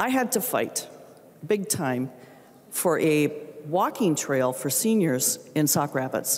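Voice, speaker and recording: Very deep and low in pitch, a woman talks at a very slow pace with an American accent. Her pitch swings very widely while her loudness stays very even. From Minnesota. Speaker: state legislator. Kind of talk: legislative floor speech; floor debate speech. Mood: earnest, emotional, frustrated. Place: hall. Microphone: handheld.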